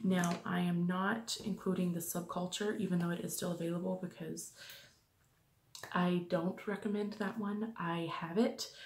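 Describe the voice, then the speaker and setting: Quiet and somewhat breathy, a woman speaks at a moderate pace and medium pitch. Her intonation stays fairly even. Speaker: beauty vlogger. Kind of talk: casual product review vlog. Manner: quiet, hushed.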